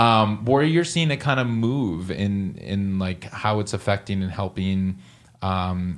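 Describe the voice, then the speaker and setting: A man with a plain, everyday voice talks at a fairly slow pace, his fairly low pitch showing ordinary variation. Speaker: podcast host. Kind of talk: interview, casual conversation.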